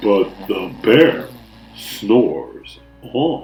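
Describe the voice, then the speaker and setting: A man in a put-on character voice at a medium pitch. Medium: read story.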